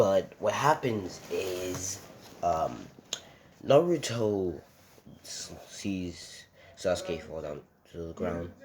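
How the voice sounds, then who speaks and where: The speech is very slow, with long, frequent pauses and big swings in loudness. Noticeable background noise is present. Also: man. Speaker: anime fan video creator. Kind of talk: casual fan-fiction narration. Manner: hesitant, many fillers.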